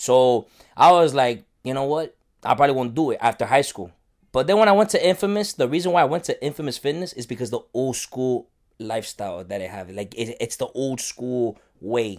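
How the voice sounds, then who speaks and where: With an American accent, a man at medium pitch speaks fairly quickly with very wide pitch swings, on a very clean recording with a silent background. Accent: Miami Cuban American English. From Miami area, Cuban American family. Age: 20s. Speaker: bodybuilder. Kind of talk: casual chat.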